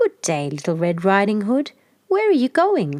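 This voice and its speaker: A squeaky, hoarse put-on character voice, female-sounding and medium in pitch for a woman. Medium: read story. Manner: sly, coaxing.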